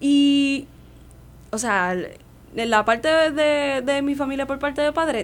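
Her pitch high and her intonation lively, a woman is talking. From Puerto Rico, Santurce (San Juan). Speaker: opera singer and voice teacher. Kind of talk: radio interview.

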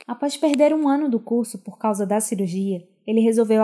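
Fairly high in pitch, a woman speaks at a fairly quick pace. Her voice is somewhat breathy with a dark, mellow tone. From Pernambuco agreste, Brazil. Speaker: podcast host. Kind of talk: scripted narration.

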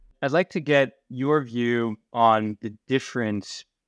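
A man's ordinary speaking voice at a fairly slow pace, with ordinary pitch variation, a dry, close sound with no echo and a quiet background. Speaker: podcast co-host, venture investor. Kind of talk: interview.

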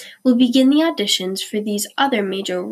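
A plain read-aloud delivery.

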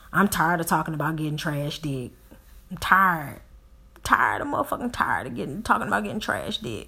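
A woman talks at a very fast pace with a very deep, low pitch, vocal fry and a bright, sharp tone. Her delivery is animated, with very wide pitch swings and big swings in loudness. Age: 40s. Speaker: podcast host. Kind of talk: casual monologue.

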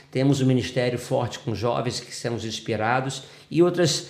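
A man with a medium pitch speaks at a moderate pace with audible room echo. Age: 40s. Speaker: pastor and psychologist. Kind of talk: interview testimony.

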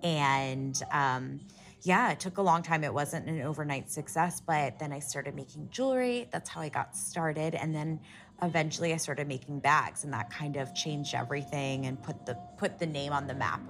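A woman with an American accent speaks at a very deep, low pitch with vocal fry and ordinary pitch variation. The recording is very clean, with a silent background. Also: moderate pace. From US Midwest, Columbus, Ohio. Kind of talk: casual chat.

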